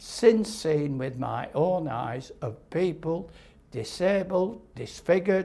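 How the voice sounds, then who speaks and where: A man's fairly high-pitched voice in a Lancashire accent, with lively intonation and a very slow pace. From northern England, Lancashire (Little Lever). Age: 80s+. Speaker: nuclear test veteran. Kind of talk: interview testimony. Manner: halting.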